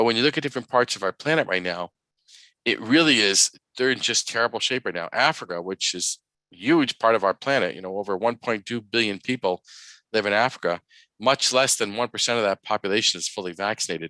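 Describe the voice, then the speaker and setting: In an American accent, a man talks at a very fast pace with medium pitch, ordinary pitch variation and a bright, sharp tone, recorded dry and close with no echo against a quiet background. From New York. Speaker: public health physician, pediatrician. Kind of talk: public health presentation.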